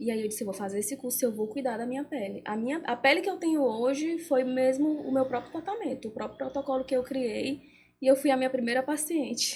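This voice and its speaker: The woman's pitch sits high. She talks fairly quickly. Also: ordinary pitch variation. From Brazil, countryside. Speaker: beautician and entrepreneur. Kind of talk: interview.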